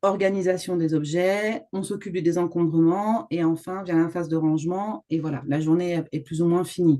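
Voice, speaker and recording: This woman has an ordinary speaking voice with a fairly low pitch. She talks at a moderate pace with fairly even intonation. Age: 50s. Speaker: home organizer. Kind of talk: interview.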